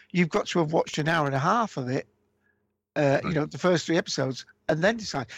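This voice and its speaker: Speaking very fast yet with long, frequent pauses, a man with a British accent uses a fairly high pitch and ordinary pitch variation, his dry, close sound free of echo against a quiet background. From UK. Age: old. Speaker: podcast co-creator. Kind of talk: casual interview. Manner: halting, many fillers.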